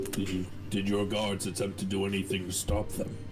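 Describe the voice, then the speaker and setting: A man's put-on character voice, fairly low in pitch and fairly quick, over loud background noise. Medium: actual play. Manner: formal, polite.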